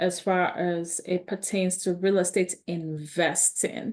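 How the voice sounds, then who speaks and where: A woman's fairly low pitch and monotone, flat intonation. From Nigeria. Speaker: real estate investor and online educator. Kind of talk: live webinar presentation. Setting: live video call.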